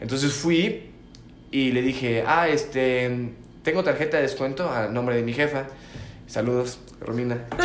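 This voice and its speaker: A man with a Mexican accent talks at a fairly slow pace, with long, frequent pauses, medium pitch and ordinary pitch variation. Noticeable background noise and audible room echo fill the recording. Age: 20s. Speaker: podcast co-host. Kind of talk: casual chat. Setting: at home.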